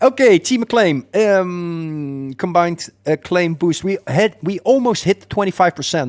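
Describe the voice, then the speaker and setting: Recorded with a dry, close sound and no echo, a man with a slight Dutch accent speaks fairly slowly in a high voice, his intonation lively and hardly any pauses breaking it up. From Netherlands. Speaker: gaming streamer. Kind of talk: live stream commentary.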